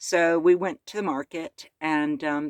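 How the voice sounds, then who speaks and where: In a dry, close sound with no echo, a woman with an American accent speaks at a fairly low pitch with ordinary pitch variation. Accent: American, still retained. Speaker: van-life vlogger. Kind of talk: casual vlog update. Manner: chatty, filler-heavy.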